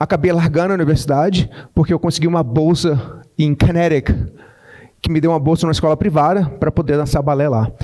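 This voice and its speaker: With a dark, mellow tone and a fairly high pitch, a man talks fairly quickly with fairly even intonation and very even loudness. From Brazil, Goiás. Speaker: tech entrepreneur, speaker. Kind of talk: keynote talk. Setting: stage with audience. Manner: fast.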